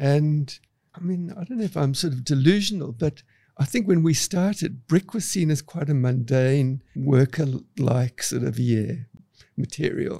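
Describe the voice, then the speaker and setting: Somewhat breathy, a man talks at a fairly slow pace with a fairly high pitch and ordinary pitch variation. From South Africa, Cape Town. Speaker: architect. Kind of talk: interview.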